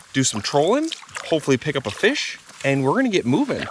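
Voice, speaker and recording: A man's voice against noticeable background noise. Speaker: outdoor adventure vlogger. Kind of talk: casual vlog narration outdoors. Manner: fast.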